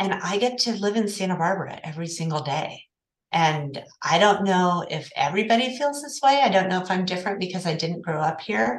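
Talking at a fairly quick pace, a woman with an American accent has an unremarkable speaking voice. Her pitch is medium and her intonation lively. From Oklahoma City. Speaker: accounting firm partner. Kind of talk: interview.

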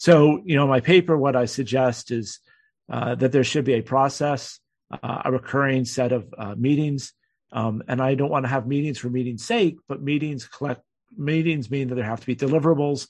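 This man talks at a moderate pace with a medium pitch. His pitch varies in an ordinary way. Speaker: retired naval officer and security researcher. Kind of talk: interview. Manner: halting, many fillers.

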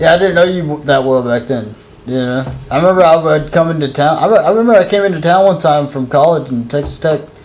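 A man talks very fast with hardly any pauses, his fairly high voice showing ordinary pitch variation. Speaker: podcast host. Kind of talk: casual chat. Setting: studio. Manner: loud.

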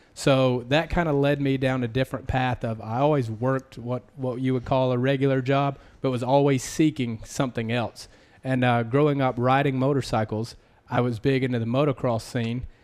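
The speaker is a man with a medium pitch. His delivery is monotone and flat. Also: moderate pace. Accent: slight Southern US. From US South. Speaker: podcast host and apparel entrepreneur. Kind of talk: casual interview chat.

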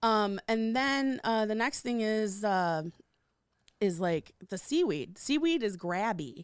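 Speaking very slowly with an American accent, a woman uses a fairly high pitch and lively intonation in a very clean recording with a silent background. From Michigan, Detroit area. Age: 40s. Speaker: comedian. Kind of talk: casual chat.

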